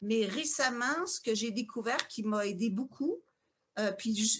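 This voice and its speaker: A woman's fairly high voice in a Quebec accent, with ordinary pitch variation. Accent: Quebec French, moderate, more international. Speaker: yoga teacher and spiritual seeker. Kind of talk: interview.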